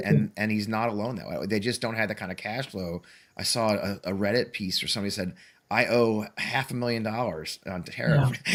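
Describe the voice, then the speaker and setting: Fairly low-pitched man, an unremarkable speaking voice, ordinary pitch variation, fairly quick pace. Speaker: talk show host. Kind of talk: interview conversation.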